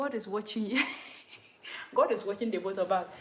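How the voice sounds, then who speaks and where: A woman is speaking. She has a Ghanaian accent. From Ghana, Upper West (Dagaare-speaking). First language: Dagaare. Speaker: language teacher on live stream. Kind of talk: live stream language lesson. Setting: YouTube live stream. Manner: casual, chatty.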